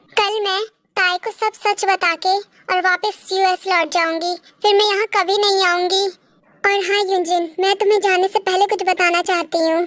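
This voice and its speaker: This is a put-on character voice at a moderate pace. The intonation is monotone and flat, and the loudness very even. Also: woman, extremely high pitch for a woman. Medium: fan dub.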